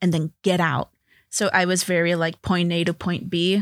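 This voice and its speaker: A woman with an American accent and a plain, everyday voice, medium in pitch, at a fairly slow pace, on a very clean recording with a silent background. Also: dry, close sound with no echo. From Los Angeles, Salvadoran American family. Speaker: TV and animation writer. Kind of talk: casual interview.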